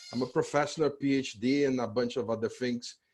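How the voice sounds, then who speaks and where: Fairly even intonation in a Portuguese accent, against a quiet background. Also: man. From Brazil, Curitiba. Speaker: law professor. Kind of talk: conference presentation.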